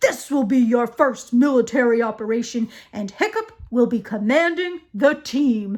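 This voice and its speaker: Quiet yet bellowing, a put-on character voice at a fairly high pitch runs on with hardly any pauses. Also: female-sounding voice, moderate pace. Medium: read story. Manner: always screaming, never quiet.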